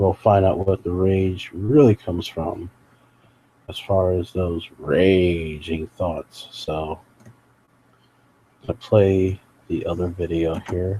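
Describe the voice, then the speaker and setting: A man's quiet, very deep voice with fairly even intonation, very slow with long, frequent pauses, dry and close with no echo. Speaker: live streamer commenting on videos. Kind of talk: live stream commentary. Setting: at home late at night beside sleeping sick mother. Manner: quiet, talking low.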